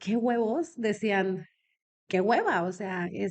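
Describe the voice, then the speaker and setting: Her pitch is medium and varies in an ordinary way as the woman speaks. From Mexico, Comarca Lagunera. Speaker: businesswoman in elder care. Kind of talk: podcast interview.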